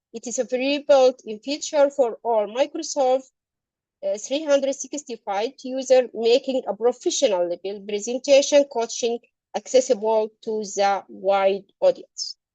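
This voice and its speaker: A woman speaks at a fairly slow pace in a high voice with a dark, mellow tone and ordinary pitch variation, the sound dry and close with no echo. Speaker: doctor presenting a software tool. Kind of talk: tutorial demo. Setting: video call. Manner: halting, many fillers; pitch goes up and down.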